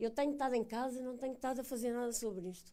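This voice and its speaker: A high-pitched woman's voice with a European Portuguese accent. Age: 60s. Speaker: animal welfare ombudsman hosting event. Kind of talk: public talk moderating Q&A, bilingual.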